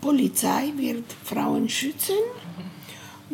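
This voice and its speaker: A woman speaks with a Bolivian accent at a very slow pace. There is noticeable background noise. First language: Spanish (speaking German). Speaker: feminist activist. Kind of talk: interview. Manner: halting.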